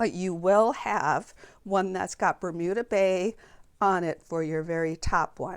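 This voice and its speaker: In a very clean recording with a silent background, a woman with an unremarkable speaking voice talks fairly slowly at a medium pitch with ordinary pitch variation. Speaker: papercraft demonstrator. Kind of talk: tutorial. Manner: casual with fillers and restarts.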